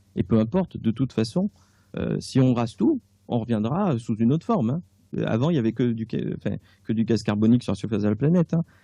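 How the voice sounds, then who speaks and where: The voice has a dark, mellow tone and lively intonation at a very fast pace, recorded dry and close with no echo against a quiet background. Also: man, medium pitch for a man. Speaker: author and clairvoyant. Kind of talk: radio interview. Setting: radio studio. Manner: casual, hesitant with fillers.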